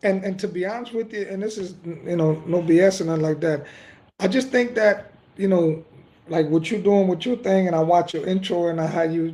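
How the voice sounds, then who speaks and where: Fairly quick and high-pitched, a man's voice carries a dark, mellow tone and ordinary pitch variation. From Dominican Republic. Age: 40s. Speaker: football coach. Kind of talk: casual chat.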